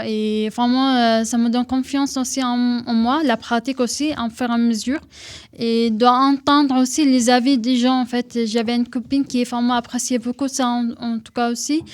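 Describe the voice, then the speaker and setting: A woman talks at a moderate pace with a Syrian accent. Her voice is high in pitch, with monotone, flat intonation. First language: Arabic (speaking French). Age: 20s. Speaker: henna tattoo artist. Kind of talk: radio interview.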